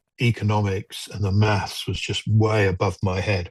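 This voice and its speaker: A man talks at a fairly low pitch in a monotone, flat way, somewhat breathy. The sound is dry and close with no echo, against a quiet background. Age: 60s. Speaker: mental health charity walker. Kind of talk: interview. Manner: halting.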